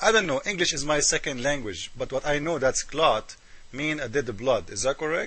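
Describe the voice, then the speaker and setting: A man speaks at a moderate pace with an Arabic accent. His voice is fairly high and his intonation lively. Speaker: religious critic video maker. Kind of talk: polemical commentary. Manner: animated.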